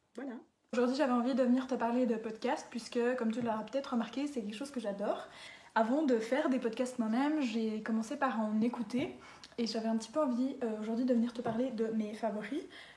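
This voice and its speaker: A high-pitched woman at a fairly quick pace with fairly even intonation, noticeable background noise and audible room echo. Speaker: podcast recommender, youtuber. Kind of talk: casual monologue to camera. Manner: hesitant, many fillers.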